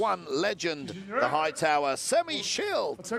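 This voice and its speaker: A man speaks over noticeable background noise. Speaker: fight commentator. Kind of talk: live commentary. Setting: commentary desk at beach event. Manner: animated.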